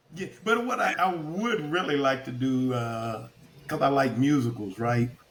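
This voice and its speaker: At a fairly slow pace, a man with a medium pitch uses lively intonation against noticeable background noise. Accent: Kentucky. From Kentucky. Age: 60s. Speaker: retired army officer turned actor. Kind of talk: casual chat.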